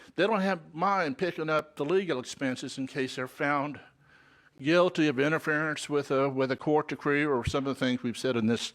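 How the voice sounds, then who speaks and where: On a very clean recording with a silent background, a man talks in an ordinary speaking voice at a fairly high pitch, with ordinary pitch variation and a moderate pace. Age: 60s. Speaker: member of the public giving testimony. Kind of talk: public comment at a legislative hearing.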